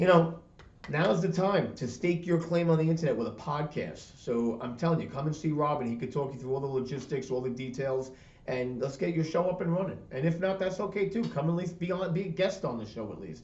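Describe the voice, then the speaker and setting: Amid audible room echo, a man with a fairly high voice talks at a fairly quick pace with ordinary pitch variation. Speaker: podcast network owner. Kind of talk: casual interview chat. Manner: fast; animated.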